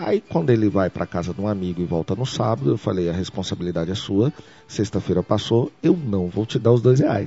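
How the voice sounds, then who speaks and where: A man with a fairly low pitch talks at a fairly quick pace with lively intonation. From Brazil, Brasília. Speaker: tech entrepreneur. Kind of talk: interview. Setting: company office. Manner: frequent repetitions and hesitations.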